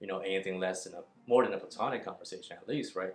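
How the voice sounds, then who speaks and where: A man with a Chinese accent and a fairly low pitch. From northern China, then Texas from age nine. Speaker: dating coach. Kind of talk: casual vlog monologue. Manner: conversational with many fillers.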